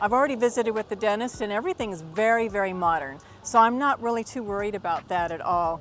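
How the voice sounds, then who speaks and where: Over music in the background, a woman with an American accent speaks at a very fast pace with hardly any pauses, lively intonation and an enthusiastic tone. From Texas, United States. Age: 50s. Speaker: retired veteran, language student. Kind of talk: testimonial talk to camera.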